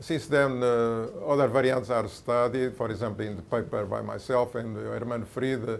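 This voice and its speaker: Audible room echo hangs around this man's voice. He holds a medium pitch and fairly even intonation. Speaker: mathematician, conference speaker. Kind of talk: lecture. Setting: conference talk with audience. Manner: halting, many fillers.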